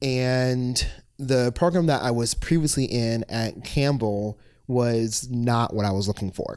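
A man at medium pitch with an American accent, very slow pace and ordinary pitch variation. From Virginia Beach, Virginia. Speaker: former university staff director. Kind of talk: casual chat.

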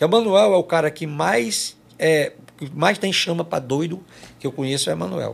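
The voice has vocal fry. Its intonation is lively. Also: man, fairly high pitch for a man, moderate pace. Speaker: forró singer. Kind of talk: casual interview chat.

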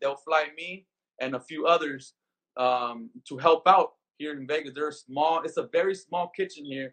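A man's voice sits fairly high in pitch. It has a bright, sharp tone. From Los Angeles, Compton. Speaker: chef and taco business owner. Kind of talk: interview. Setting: video call.

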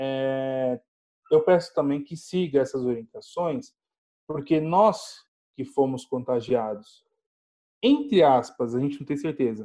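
Dark and mellow in tone, a man speaks very slowly with lively intonation. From Brazil, São Paulo (Grajaú). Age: 20s. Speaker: biomedical scientist, Covid-19 survivor. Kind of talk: interview, personal testimony. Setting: video call. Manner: halting, many fillers.

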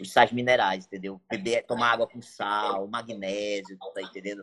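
A man with a northern Brazilian accent, speaking at a fairly slow pace. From Brazil, Amapá (Santana). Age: 30s. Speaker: bodybuilder and coach. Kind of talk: casual chat.

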